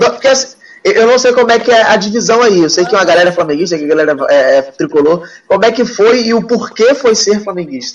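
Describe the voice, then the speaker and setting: A man's high voice with lively intonation and very even loudness. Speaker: sports show host. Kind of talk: casual chat about football. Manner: informal, animated.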